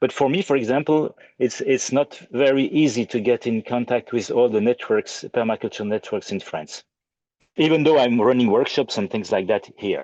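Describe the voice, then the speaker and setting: A man with a French accent speaks at a moderate pace and medium pitch with ordinary pitch variation, his dry, close sound having no echo against a quiet background. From Belgium. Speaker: audience member asking a question. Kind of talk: question in online Q&A. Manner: halting, many repetitions.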